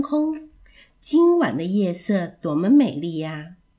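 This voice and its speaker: A woman talks at a medium pitch and a very slow pace in a gentle, warm, dark, mellow tone that is somewhat breathy. Her pitch swings very widely in a very clean recording with a silent background. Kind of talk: children's bedtime story narration. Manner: gentle, warm and sing-song, with a playful storyteller's lilt.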